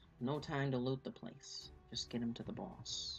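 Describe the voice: At a moderate pace, a nasal, put-on character voice speaks over clear background noise.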